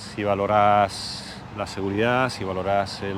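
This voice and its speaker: A man with an Argentine accent speaks at a fairly low pitch in a monotone, flat intonation, with audible room echo. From Argentina. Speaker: piano tuner, emigrant interviewee. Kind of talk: interview.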